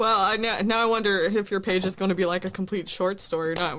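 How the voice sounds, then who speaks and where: A woman talks very fast, her intonation fairly even, while noticeable background noise carries on behind her. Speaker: podcast host reading a story aloud. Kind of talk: casual, self-deprecating. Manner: monotone.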